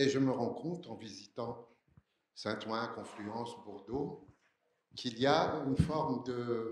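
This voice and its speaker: Long, frequent pauses break up a man's very slow, somewhat breathy speech. Room echo is audible. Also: medium pitch for a man, ordinary pitch variation. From Algeria, Algiers. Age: 60s. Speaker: audience member asking a question. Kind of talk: audience question at conference.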